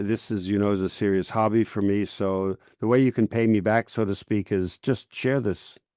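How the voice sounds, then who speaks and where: Dry and close with no echo, a man's dark, mellow voice moves at a moderate pace over a quiet background. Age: 70s. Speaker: podcast host. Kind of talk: interview podcast.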